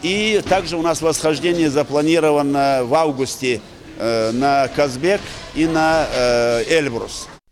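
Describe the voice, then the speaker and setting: Against noticeable background noise, a man with a fairly high pitch talks at a very slow pace with ordinary pitch variation and very even loudness. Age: 60s. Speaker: mountaineering federation official. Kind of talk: interview. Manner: hesitant with fillers.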